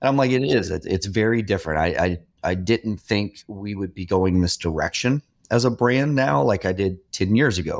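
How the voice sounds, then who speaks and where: In a very clean recording with a silent background, a man with a normal speaking voice talks at a moderate pace with a fairly low pitch and lively intonation. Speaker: podcast host. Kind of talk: casual interview chat.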